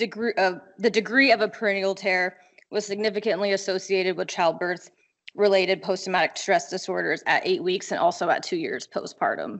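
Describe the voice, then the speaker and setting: Fairly quick pace with fairly even intonation. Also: woman. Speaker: medical researcher presenting study. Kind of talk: conference research presentation.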